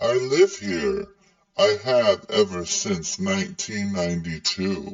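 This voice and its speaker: A man puts on a character voice at a medium pitch, moving fairly slowly through very wide pitch swings. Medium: audio drama. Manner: detached, otherworldly.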